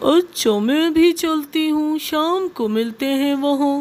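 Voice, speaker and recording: In a cartoonish character voice, a female-sounding speaker talks at a high pitch. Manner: chatty, lively.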